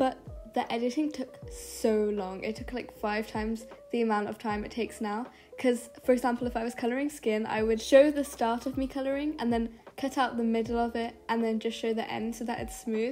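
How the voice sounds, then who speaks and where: Quiet and in a bored tone, a woman with a fairly high pitch speaks at a fairly quick pace with fairly even intonation. Noticeable background noise sits behind her. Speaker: art youtuber. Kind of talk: voiceover narration. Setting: bedroom. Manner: sometimes sounds bored. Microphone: muffled sound.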